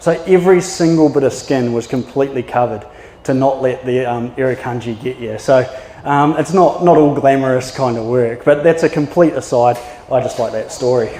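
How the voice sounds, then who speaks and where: With a New Zealand accent, a man talks at a fairly quick pace and a medium pitch, with ordinary pitch variation. Noticeable background noise is present. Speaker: maritime archaeologist. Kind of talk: public talk. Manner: casual, with filler words.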